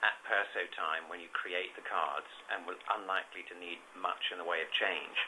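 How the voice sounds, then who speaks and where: Speaking at a moderate pace, a man has a British accent. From UK. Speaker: payments consultant. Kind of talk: webinar presentation. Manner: hesitant, many fillers.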